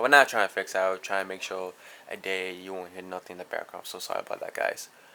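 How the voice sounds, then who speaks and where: A man with a fairly low pitch speaks over noticeable background noise. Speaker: card game YouTuber. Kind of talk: deck profile tutorial. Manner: halting, self-correcting.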